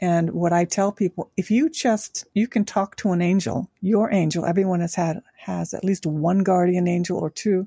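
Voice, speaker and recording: In an American accent, a woman speaks at a moderate pace with a medium pitch, a dark, mellow tone and a somewhat breathy quality, her intonation fairly even, on a very clean recording with a silent background and a dry, close sound with no echo. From Tokyo, Japan (American father, Japanese mother). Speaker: angel intuitive and life coach. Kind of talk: interview conversation.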